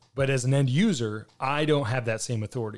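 A man with a plain, everyday voice speaks at a fairly quick pace, his pitch medium and its variation ordinary. The recording is very clean, with a silent background. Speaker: podcast host and military veteran. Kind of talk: podcast interview.

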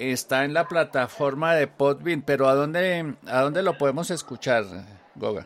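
A man with a fairly high voice, ordinary pitch variation and a moderate pace, over noticeable background noise. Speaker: podcast host. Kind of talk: interview.

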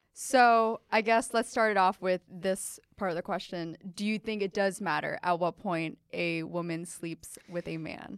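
In a very clean recording with a silent background and a dry, close sound with no echo, a woman with an American accent speaks in a plain, everyday voice at a fairly slow pace with hardly any pauses, medium pitch and ordinary pitch variation. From Pennsylvania. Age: 20s. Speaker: podcast host. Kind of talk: casual interview chat. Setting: studio.

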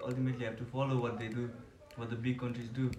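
There's noticeable background noise behind this man. His voice carries audible room echo. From Nepal. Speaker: international student. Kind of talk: casual chat.

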